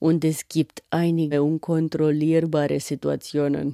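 A woman with a Romanian accent has a very deep, low pitch and a dark, mellow tone. The sound is dry and close with no echo, on a very clean recording with a silent background. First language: Romanian (speaking German). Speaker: artist and feature author. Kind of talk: scripted narration with interview voice-over.

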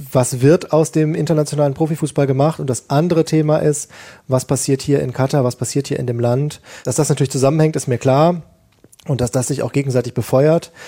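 Somewhat breathy, with a dark, mellow tone, this man's voice sits at a fairly high pitch. He talks at a fairly quick pace with fairly even intonation. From Germany, Ruhr area. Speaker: sports reporter. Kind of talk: panel discussion. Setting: remote link from Qatar.

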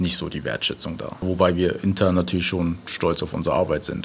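Over noticeable background noise, a man speaks at a very deep, low pitch in a monotone, flat intonation. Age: 30s. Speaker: rail network manager. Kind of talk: interview.

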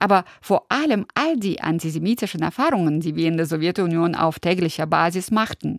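With lively intonation, a woman with a normal speaking voice and fairly low pitch talks at a moderate pace in a very clean recording with a silent background and a dry, close sound with no echo. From former Soviet Union. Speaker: radio host. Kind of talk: scripted narration.

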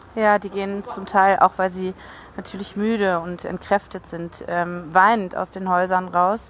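A woman's fairly slow, monotone, flat delivery with big swings in loudness. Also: medium pitch for a woman. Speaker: on-site reporter. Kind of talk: live reporting.

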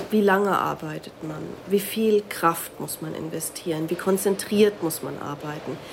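Loudness swings widely as a woman talks at a fairly slow pace. Her intonation is fairly even, and background noise is noticeable. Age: 40s. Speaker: sociology professor. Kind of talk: expert interview.

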